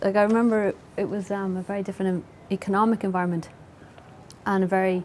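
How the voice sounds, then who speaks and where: A woman speaks in a Dublin accent at a medium pitch. Her delivery is fairly quick, with monotone, flat intonation. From Dublin, Ireland (Howth). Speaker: novelist. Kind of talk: interview conversation.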